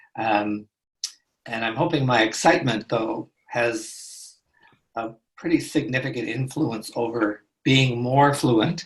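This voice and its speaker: The voice is somewhat breathy and the pace very slow. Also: man, medium pitch for a man, ordinary pitch variation. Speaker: trauma therapist and teacher. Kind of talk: conversation.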